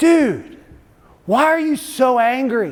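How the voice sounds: A man performs a put-on character voice in a Californian accent. The pitch is extremely high.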